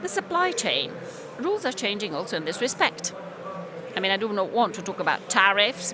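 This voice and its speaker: Against noticeable background noise, a woman talks at a fairly quick pace and a medium pitch, with ordinary pitch variation. She leaves long, frequent pauses. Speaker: conference speaker. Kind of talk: conference talk.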